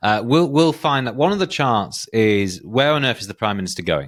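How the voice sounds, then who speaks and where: The speaker has a North Yorkshire accent and a fairly quick pace. The intonation is lively. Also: man, very clean recording, silent background. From northern England, North Yorkshire. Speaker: political polling analyst. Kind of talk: podcast discussion. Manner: hesitant, with false starts.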